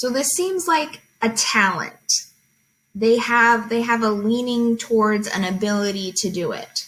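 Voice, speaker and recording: Speaking with a plain, everyday voice, a woman keeps a fairly slow pace and a fairly high pitch with ordinary pitch variation. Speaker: teacher. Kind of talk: tutorial.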